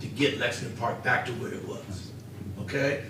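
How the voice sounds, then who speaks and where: A man with an American accent, amid noticeable background noise and audible room echo. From Ohio, Xenia area. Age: 60s. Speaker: public commenter, local businessman. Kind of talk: public comment at council meeting. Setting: city council chamber.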